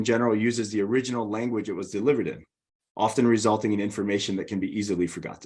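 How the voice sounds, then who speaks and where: Very fast speech in a Hawaiian accent against a quiet background. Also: man. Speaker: learning and development director. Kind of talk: webinar presentation.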